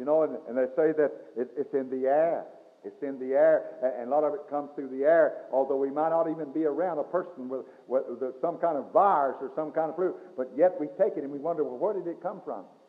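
Against a quiet background, a man with an unremarkable speaking voice and a fairly high pitch talks at a fairly quick pace with ordinary pitch variation. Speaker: Baptist pastor. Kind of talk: church sermon. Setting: recorded in a church, old cassette tape. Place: church. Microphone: old recording.

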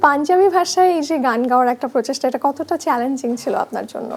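A woman's voice with ordinary pitch variation. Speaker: TV entertainment show host. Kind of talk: interview. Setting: studio.

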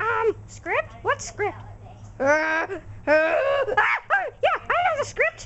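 In a cartoonish character voice with an extremely high pitch, the speaker goes at a very slow pace over clear background noise. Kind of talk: comedic puppet sketch.

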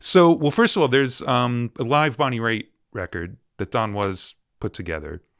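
Against a quiet background, a man speaks at a moderate pace. His pitch swings very widely. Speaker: interviewer. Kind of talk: casual interview. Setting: video call. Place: studio.

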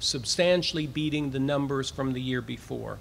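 A man talks while light background noise sits underneath. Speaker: university president. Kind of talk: formal address to a live audience. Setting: outdoors, with cicadas audible. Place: street. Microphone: podium.

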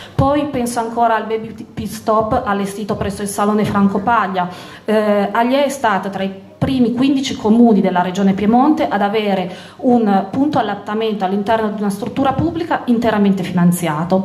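A woman's fairly high-pitched voice with ordinary pitch variation and audible room echo. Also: moderate pace. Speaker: deputy mayor. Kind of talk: campaign speech. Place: hall. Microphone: handheld.

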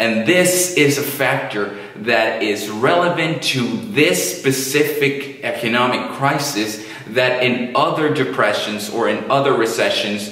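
A man talks at a fairly slow pace amid audible room echo. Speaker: finance educator. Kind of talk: educational commentary. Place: studio.

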